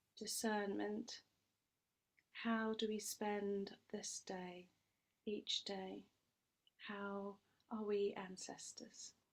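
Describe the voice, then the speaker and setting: Speaking very slowly with long, frequent pauses, a woman with a British accent uses a monotone, flat intonation at medium pitch. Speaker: priestess leading a ceremony. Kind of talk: ritual ceremony.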